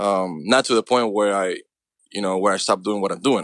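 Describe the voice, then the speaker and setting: A man speaks very fast, with a dry, close sound and no echo. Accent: Cuban. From Cuba. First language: Spanish. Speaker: actor. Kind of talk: interview answer.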